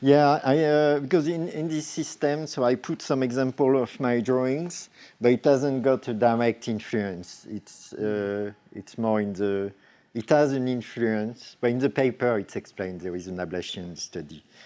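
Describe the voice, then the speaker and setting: A man with a slight French accent speaks at a moderate pace in a dark, mellow tone and medium pitch, his intonation lively against a quiet background. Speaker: robotic artist. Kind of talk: Q&A at symposium. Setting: symposium talk with audience. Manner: halting, many fillers and restarts.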